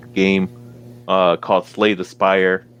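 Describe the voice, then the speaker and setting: Music plays in the background as the speaker goes along at a fairly slow pace. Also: man. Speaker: podcast host. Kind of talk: casual chat. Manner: monotone.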